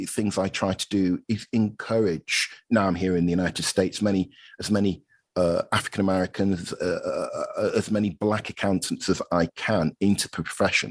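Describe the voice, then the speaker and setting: At a moderate pace, a man with a British accent and fairly low pitch speaks in a dry, close sound with no echo against a quiet background. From Britain. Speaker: accounting professor. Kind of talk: podcast interview. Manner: halting, with many fillers.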